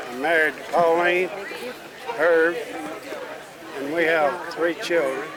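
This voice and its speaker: A man with an American accent speaks very slowly in a high voice and a fairly even tone, with audible room echo and crowd noise behind him. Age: 70s. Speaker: family elder at reunion. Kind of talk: family introduction on camera.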